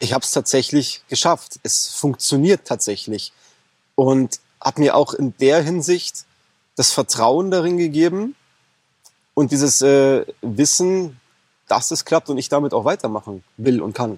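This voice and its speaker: Pausing long and often, a man speaks at a fairly slow pace with lively intonation. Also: fairly high pitch for a man, dry, close sound with no echo. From Bavaria, Germany. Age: 30s. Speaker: e-commerce coaching client. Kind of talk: interview. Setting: in person on Mallorca.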